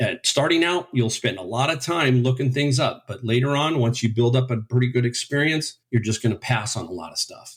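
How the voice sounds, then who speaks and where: The speaker talks at a fairly quick pace with hardly any pauses. The voice is somewhat breathy, with ordinary pitch variation. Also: man, medium pitch for a man. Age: 60s. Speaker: eBay reseller, retired furniture store owner. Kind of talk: interview.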